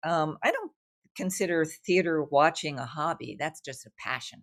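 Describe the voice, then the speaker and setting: With an American accent, a woman speaks at a fairly low pitch and a moderate pace. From New York, Brooklyn. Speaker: writer and artist. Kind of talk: interview conversation. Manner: animated.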